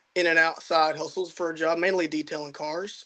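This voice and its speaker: A man's high-pitched voice with a Texas accent. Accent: Southern US (Texas). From Southeast Texas (Beaumont). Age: young. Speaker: young hunter. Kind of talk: casual interview.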